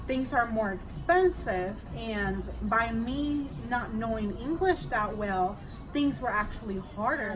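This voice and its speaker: With a Spanish accent, a woman speaks at a fairly slow pace in a fairly high pitch and lively intonation, with music in the background and audible room echo. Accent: Spanish accent, noticeable. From Puerto Rico. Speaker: immigrant sharing experience. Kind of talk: casual chat.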